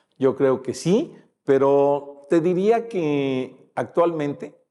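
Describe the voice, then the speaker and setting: The man's tone is dark and mellow. He talks very slowly. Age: 70s. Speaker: retired politician. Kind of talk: interview. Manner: halting, many fillers.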